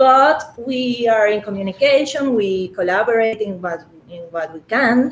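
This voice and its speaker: Over noticeable background noise, a woman with a Spanish accent speaks fairly high and at a fairly slow pace. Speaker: crypto community organizer. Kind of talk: interview. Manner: halting, many fillers.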